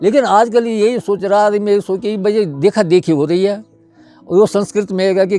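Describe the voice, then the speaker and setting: Music plays in the background as a man speaks in a high pitch. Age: old. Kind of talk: interview answer.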